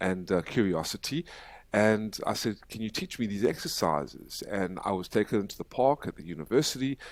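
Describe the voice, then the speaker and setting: A man with an American accent and an unremarkable speaking voice, fairly low in pitch, fairly quick in pace, with lively intonation, in a very clean recording with a silent background. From South Africa. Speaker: human rights activist. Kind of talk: podcast interview.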